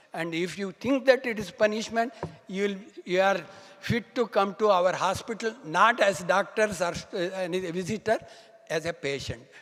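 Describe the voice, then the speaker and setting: Over noticeable background noise, a man speaks at a high pitch and moderate pace with ordinary pitch variation. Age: 70s. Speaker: doctor giving health talk. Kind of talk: conference talk.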